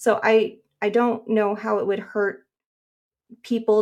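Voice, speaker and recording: Speaking with an American accent, a woman talks at a fairly slow pace with a fairly high pitch and flat, monotone intonation. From Nevada, US. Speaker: comic artist. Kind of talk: casual chat.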